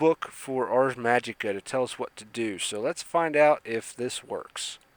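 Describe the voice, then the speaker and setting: A man speaks at a medium pitch with lively intonation in an unremarkable speaking voice. The sound is dry and close, with no echo. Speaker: gaming YouTuber. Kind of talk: let's play commentary.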